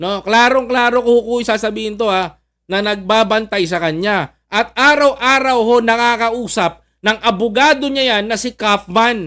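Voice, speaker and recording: A man speaks in a raised, projected voice at a fairly slow pace. His pitch is high, with ordinary variation. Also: hardly any pauses. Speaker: political commentary vlogger. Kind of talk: political commentary monologue. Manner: halting, many fillers.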